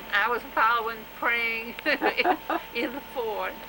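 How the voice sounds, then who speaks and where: A fairly high-pitched woman at a fairly slow pace, with ordinary pitch variation and noticeable background noise. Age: 80s+. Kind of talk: interview answer.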